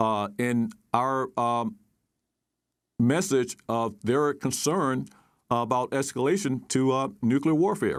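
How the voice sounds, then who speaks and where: In a very clean recording with a silent background, a man with an American accent speaks at a medium pitch and a very slow pace. His intonation is lively, his loudness very even, and his pauses long and frequent. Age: 60s. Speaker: retired military officer, national security expert. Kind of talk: news interview. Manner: halting, many fillers.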